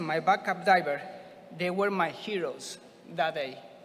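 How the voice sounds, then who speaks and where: A man talks at a moderate pace with a Spanish accent. His pitch is high, with ordinary variation. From Argentina. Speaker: scuba diver receiving award. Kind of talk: acceptance speech.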